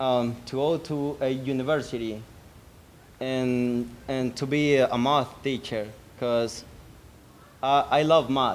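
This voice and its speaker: Speaking in a Salvadoran accent at a very slow pace with long, frequent pauses, a man keeps a medium pitch and fairly even intonation. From El Salvador. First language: Spanish. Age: 20s. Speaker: GED graduate. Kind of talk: graduation speech. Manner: halting, many repetitions.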